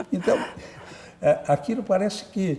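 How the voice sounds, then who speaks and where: A man's pitch swings very widely. Noticeable background noise sits behind him. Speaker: journalist and writer. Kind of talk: interview. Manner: halting.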